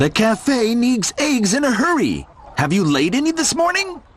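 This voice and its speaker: Putting on a character voice, a man speaks at an extremely high pitch with very wide pitch swings and very even loudness. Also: moderate pace. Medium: read story. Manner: eager.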